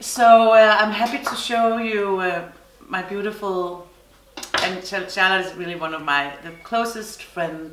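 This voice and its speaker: A woman with a Danish accent at a medium pitch, fairly slow pace and ordinary pitch variation, with big swings in loudness, noticeable background noise and audible room echo. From Denmark. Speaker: knitting podcaster. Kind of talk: casual chat. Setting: summer house on island. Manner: halting.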